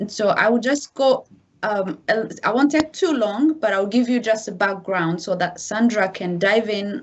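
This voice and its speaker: With an African accent, a woman speaks at a fairly high pitch with ordinary pitch variation. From DR Congo. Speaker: massacre survivor, guest speaker. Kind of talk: testimony.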